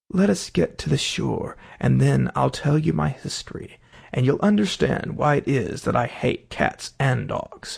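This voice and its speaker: A shaky, put-on character voice from a man, medium in pitch, at a moderate pace. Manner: trembling, hurt and angry.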